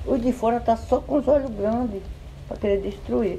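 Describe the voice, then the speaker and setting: The speaker is a man. His pitch is extremely high. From Brazil, Paraíba (Potiguara land, Northeast). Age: 60s. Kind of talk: interview.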